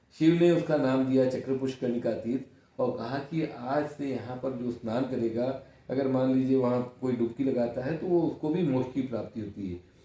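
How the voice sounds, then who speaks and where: Over noticeable background noise, a man with a medium-pitched voice talks with hardly any pauses and fairly even intonation. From India, Varanasi (Kashi). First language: Kannada (speaking Hindi). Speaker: senior journalist. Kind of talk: interview.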